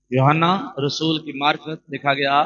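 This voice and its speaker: A man speaks with a fairly high pitch and fairly even intonation. He has a normal speaking voice. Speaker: pastor. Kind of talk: sermon preaching to a congregation.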